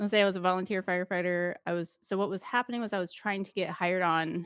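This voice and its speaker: A woman speaks very fast in an animated tone at a medium pitch. The recording is very clean with a silent background and a dry, close sound with no echo. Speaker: former paramedic turned 3D printing content creator. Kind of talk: interview conversation. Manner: loud; fast, animated.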